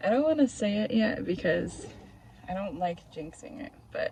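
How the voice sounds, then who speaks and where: A soft-spoken woman at a fairly slow pace, with noticeable background noise. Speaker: vlogger and photographer. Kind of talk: casual vlog narration. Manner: hesitant, many fillers. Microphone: phone mic, audio glitchy.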